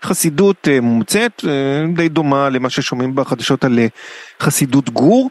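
A man at a fairly slow pace, dry and close with no echo, amid noticeable background noise. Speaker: radio culture show host. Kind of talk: casual radio interview. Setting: radio studio.

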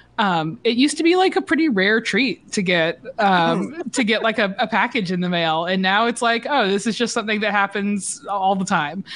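A woman's normal speaking voice, medium in pitch and with an American accent, lively in intonation, very even in loudness and with hardly any pauses. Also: moderate pace. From US South, Georgia. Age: 30s. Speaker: journalist. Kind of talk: casual chat.

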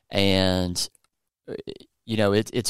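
With a Southern US accent, the speaker talks at a fairly slow pace and fairly even intonation on a very clean recording with a silent background and a dry, close sound with no echo. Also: man. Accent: southern drawl. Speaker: podcast host and coffee roaster. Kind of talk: casual educational chat.

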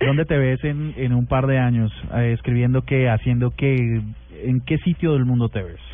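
A man with an ordinary speaking voice at medium pitch, with fairly even intonation and a fairly slow pace. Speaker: radio co-host. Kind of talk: casual chat.

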